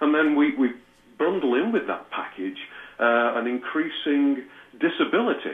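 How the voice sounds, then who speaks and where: At a moderate pace, a man with a British accent speaks at a fairly high pitch with lively intonation. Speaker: trance medium and author. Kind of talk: interview.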